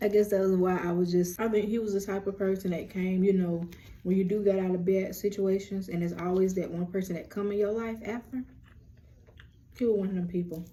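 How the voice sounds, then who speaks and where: A woman with a dark, mellow tone talks at a fairly quick pace, somewhat breathy. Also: medium pitch for a woman. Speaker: lifestyle and spirituality vlogger. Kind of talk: casual chat. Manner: animated.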